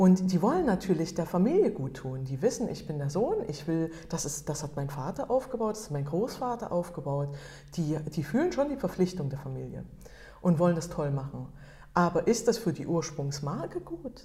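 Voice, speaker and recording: Noticeable background noise is present as a woman speaks at a moderate pace. Her pitch is fairly low and her intonation lively. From Germany. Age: 40s. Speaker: photographer and entrepreneur. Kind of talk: interview. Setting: meeting room. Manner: halting.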